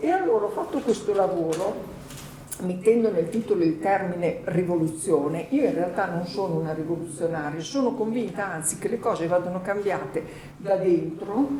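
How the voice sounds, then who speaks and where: A woman with an Emilian accent speaks at a moderate pace and medium pitch, with ordinary pitch variation. Noticeable background noise and audible room echo are present. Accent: Emilian Italian. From Emilia, northern Italy. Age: 50s. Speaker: journalist and author, panelist. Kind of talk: panel discussion.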